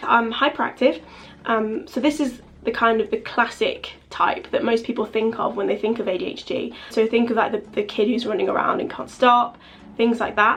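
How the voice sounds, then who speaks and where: Pitch moves up and down in an ordinary way. The accent is English. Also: woman, fairly high pitch for a woman. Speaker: vlogger. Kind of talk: casual chat. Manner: fast.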